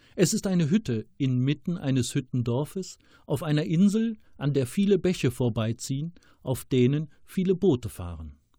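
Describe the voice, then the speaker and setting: Somewhat breathy and dark, mellow in tone, a man's voice moves at a moderate pace with very wide pitch swings. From Rhineland, Germany. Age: 50s. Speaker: author. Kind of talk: reading aloud.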